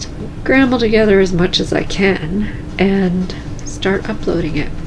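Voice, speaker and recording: A woman speaks at medium pitch with a calm tone and a fairly slow pace. Noticeable background noise and audible room echo surround her voice. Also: ordinary pitch variation. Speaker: cross stitch video creator. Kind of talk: casual vlog talk.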